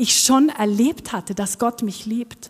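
In a Norwegian accent, a woman speaks at a very slow pace with ordinary pitch variation. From Norway. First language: Norwegian (speaking German). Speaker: worship team member. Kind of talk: sermon. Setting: church.

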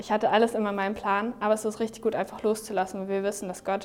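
The woman's pitch is medium. She races along at a very fast pace. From Germany, Neumünster area. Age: 20s. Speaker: young church volunteer. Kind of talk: testimony.

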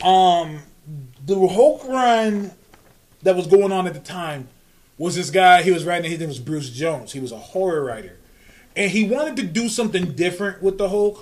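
An animated man's high-pitched voice, lively intonation, moderate pace, long and frequent pauses. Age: 30s. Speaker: comic book podcast host. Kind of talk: casual chat.

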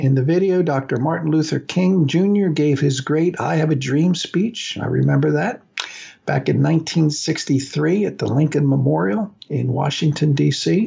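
In an ordinary speaking voice, a man talks at a fairly slow pace with a fairly high pitch and very even loudness. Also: ordinary pitch variation. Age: 60s. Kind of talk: radio talk monologue on religion. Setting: radio studio.

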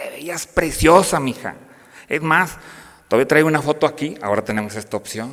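Using a plain, everyday voice, a man talks at a moderate pace and fairly high pitch, with big swings in loudness. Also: lively intonation. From northern Mexico, Piedras Negras, Coahuila (border town). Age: 50s. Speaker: university professor and lay speaker. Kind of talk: parish talk to parents.

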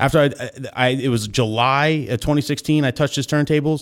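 A man at a very fast pace, medium pitch and ordinary pitch variation, on a very clean recording with a silent background. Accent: American. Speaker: wedding DJ and content creator. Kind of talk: casual chat.

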